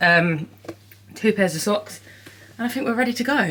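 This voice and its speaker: A woman talks with an English accent. Her intonation is lively. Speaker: vlogger. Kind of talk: casual vlog to camera. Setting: outdoors by a lake.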